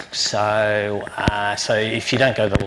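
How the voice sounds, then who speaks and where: Noticeable background noise surrounds a man speaking with a strong Australian accent. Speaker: university lecturer. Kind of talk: lecture. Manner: halting, many fillers.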